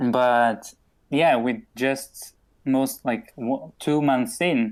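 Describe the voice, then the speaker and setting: A man with a Portuguese accent speaks at a very slow pace, his pitch medium with ordinary variation. His loudness stays very even, and the recording is very clean with a silent background. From Portugal. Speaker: podcast host. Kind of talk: casual chat.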